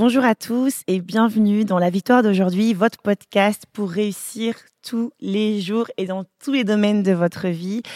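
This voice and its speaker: A woman speaks at a medium pitch with a dark, mellow tone and fairly even intonation. Her pace is fairly slow, and the sound is dry and close with no echo. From African family, French-speaking. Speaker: podcast host, pastor's family. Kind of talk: casual chat.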